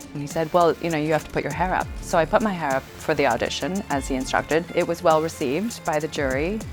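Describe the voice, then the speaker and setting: Over music in the background, a woman talks at a very fast pace with hardly any pauses, her very deep, low pitch showing ordinary variation. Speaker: auctioneer. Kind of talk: interview answer about her career, casual and reflective.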